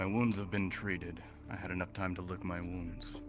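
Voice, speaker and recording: Over loud background music, a man puts on a character voice with a very deep, low pitch. He talks at a moderate pace. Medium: game stream. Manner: curt, guarded.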